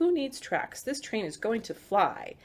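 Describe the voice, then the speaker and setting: In a put-on character voice, a woman speaks at a moderate pace and a high pitch with very wide pitch swings on a very clean recording with a silent background. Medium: read story.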